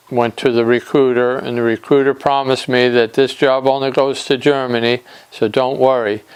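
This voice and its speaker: A man speaks over noticeable background noise. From Nantucket, Massachusetts. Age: 60s. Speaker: war veteran. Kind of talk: interview testimony. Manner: halting, with fillers.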